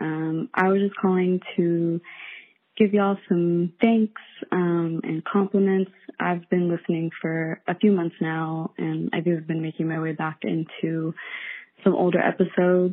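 A woman speaks in a normal speaking voice with fairly even intonation. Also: fairly low pitch for a woman, fairly slow pace. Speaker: listener caller. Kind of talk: voicemail. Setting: phone call.

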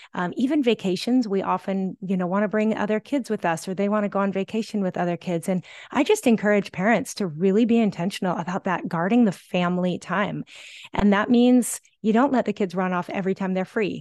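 Against a quiet background, a woman with an ordinary speaking voice talks at a fairly quick pace, her medium pitch showing ordinary variation, the sound dry and close with no echo. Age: 50s. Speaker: parenting author. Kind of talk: podcast interview.

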